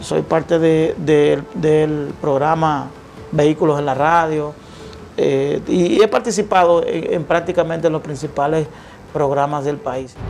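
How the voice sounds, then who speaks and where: Music plays behind a man speaking at a fairly slow pace. His pitch is fairly high, with fairly even intonation. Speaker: lawyer and media commentator. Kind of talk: interview. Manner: halting.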